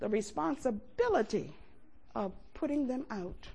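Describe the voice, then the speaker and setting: A woman's somewhat breathy voice, dark and mellow in tone, with very wide pitch swings. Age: 70s. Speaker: preacher. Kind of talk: sermon. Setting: church. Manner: animated.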